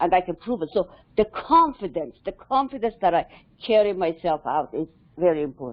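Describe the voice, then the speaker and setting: A woman speaks at a moderate pace in a non-native accent, her pitch swinging very widely. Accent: foreign. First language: not English. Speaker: cybersecurity mentor. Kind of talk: casual panel discussion. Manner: halting.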